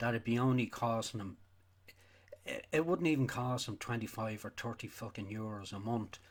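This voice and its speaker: A man with a Donegal accent talks at a moderate pace and medium pitch, with ordinary pitch variation. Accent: Irish, Donegal. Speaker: sheep farmer. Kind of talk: casual talk to camera. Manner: angry, ranting.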